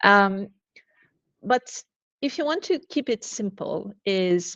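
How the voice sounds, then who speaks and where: Lively intonation at a very slow pace, with a dry, close sound with no echo and a quiet background. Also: woman. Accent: Portuguese. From Portugal, Lisbon. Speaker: learning and development director. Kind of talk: webinar interview.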